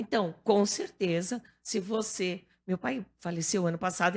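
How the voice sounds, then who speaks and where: On a very clean recording with a silent background, a woman at medium pitch speaks in an animated tone with ordinary pitch variation. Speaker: TV presenter and newly elected politician. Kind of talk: radio talk show interview. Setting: radio studio.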